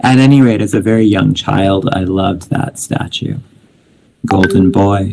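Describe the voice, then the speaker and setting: The man speaks with fairly even intonation. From Canada (Winnipeg), early childhood in India. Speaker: poet. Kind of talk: poetry reading with commentary. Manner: halting, many fillers.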